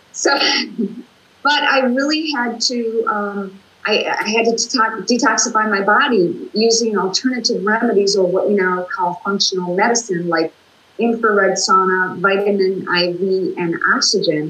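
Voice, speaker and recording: A woman with an American accent speaks at a fairly slow pace and a fairly high pitch. Her intonation is lively, and noticeable background noise runs underneath. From US Midwest, Minnesota. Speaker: talk show guest, author and former radio personality. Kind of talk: casual interview. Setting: video call.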